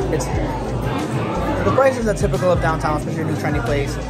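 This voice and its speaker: A man is speaking. Music plays in the background. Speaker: food reviewer. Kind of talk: casual food review vlog. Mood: delighted, enthusiastic. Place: cafe. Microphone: phone near.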